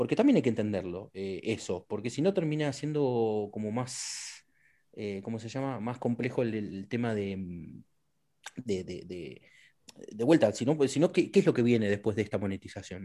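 A man talks at a moderate pace in a medium pitch with a dark, mellow tone and ordinary pitch variation. The recording is very clean with a silent background. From Argentina, Neuquén. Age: 40s. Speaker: government culture official and game industry figure. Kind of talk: interview.

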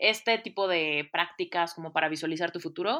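On a very clean recording with a silent background, a woman speaks in a bright, sharp tone at a moderate pace with ordinary pitch variation. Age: 30s. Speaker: life coach. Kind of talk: interview. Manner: animated.

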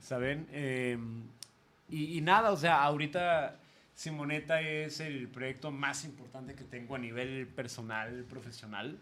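The tone is bright and sharp, with big swings in loudness and ordinary pitch variation. Delivery is fairly slow, and room echo is audible. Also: man, fairly high pitch for a man. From Mexico, Guadalajara. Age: 20s. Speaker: theatre producer and former radio host. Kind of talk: casual chat.

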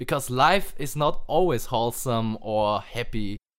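A man with a normal speaking voice at a medium pitch is heard in a very clean recording against a silent background. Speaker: podcast host. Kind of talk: casual chat.

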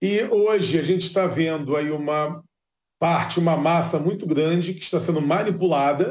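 This man's high voice moves at a moderate pace with fairly even intonation. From Brazil, Rio de Janeiro. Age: 40s. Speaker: neuroscientist. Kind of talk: interview.

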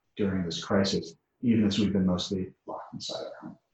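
Somewhat breathy, a man with an American accent speaks at a fairly low pitch with fairly even intonation. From US Northeast, Connecticut. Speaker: urban design professor. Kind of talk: interview.

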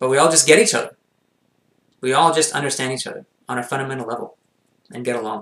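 Talking at a very fast pace with long, frequent pauses, a man with a Montreal accent keeps a medium pitch and ordinary pitch variation while his loudness swings widely. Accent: Canadian English, Montreal anglophone. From Montreal, Quebec. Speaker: mental performance consultant and coach. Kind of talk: casual interview.

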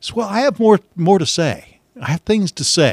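A man with a Midwestern American accent talks at a moderate pace, recorded dry and close with no echo. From Missouri, US Midwest. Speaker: radio host and podcaster. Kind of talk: casual solo monologue. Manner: conversational with fillers.

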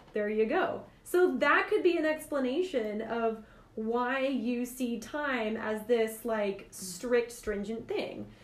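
Against noticeable background noise, a woman speaks at a high pitch with lively intonation. Her pace is very slow. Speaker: podcast host. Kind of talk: casual podcast discussion.

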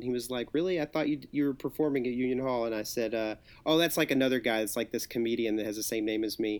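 A man speaks at a very fast pace in a medium pitch. The recording is very clean, with a silent background. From Arkansas, Hot Springs. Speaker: writer. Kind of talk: casual chat.

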